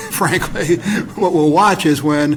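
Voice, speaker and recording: A fairly high-pitched man with ordinary pitch variation over noticeable background noise. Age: 60s. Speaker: political scientist. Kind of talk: panel discussion.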